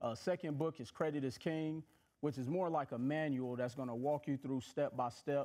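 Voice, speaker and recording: Speaking at a fairly quick pace, a man with a fairly high pitch has a dark, mellow tone and fairly even intonation. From Milwaukee, Wisconsin and Mississippi. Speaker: financial educator and author; financial educator. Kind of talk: casual interview. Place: studio.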